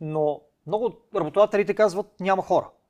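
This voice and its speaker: A man with a plain, everyday voice, ordinary pitch variation and a fairly quick pace. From Bulgaria, Cherven Bryag. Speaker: podcast host. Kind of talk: casual interview.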